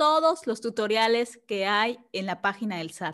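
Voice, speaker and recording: A woman talks at a fairly slow pace with lively intonation. The recording is very clean and the background silent. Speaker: tax consultant. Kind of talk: casual chat. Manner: calm.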